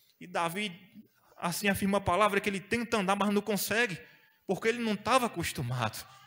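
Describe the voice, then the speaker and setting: Very fast and raised in a projected voice, a man speaks in a high pitch with a bright, sharp tone and ordinary pitch variation. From Brazil. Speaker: preacher. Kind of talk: sermon. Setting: church. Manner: animated; exhortative, call-and-response. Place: church. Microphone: handheld.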